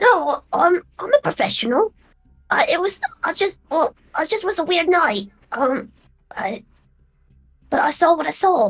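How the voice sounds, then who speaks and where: This put-on character voice moves at a moderate pace, swinging very widely in pitch and breaking off with long, frequent pauses. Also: woman, extremely high pitch for a woman. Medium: actual play. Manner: hesitant, stammering.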